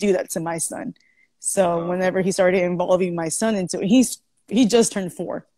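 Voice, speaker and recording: The speech moves at a fairly quick pace with ordinary pitch variation, recorded dry with no echo against a quiet background. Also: woman. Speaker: podcast guest. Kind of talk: interview answer. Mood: emotional, candid storytelling. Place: home room. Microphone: earbuds.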